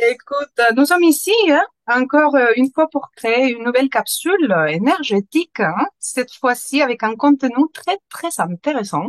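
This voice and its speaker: At a moderate pace and with hardly any pauses, a woman speaks in a high pitch with very wide pitch swings. The sound is dry and close, without echo. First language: Spanish (speaking French). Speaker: interviewer. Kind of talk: interview. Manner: halting, many hesitations.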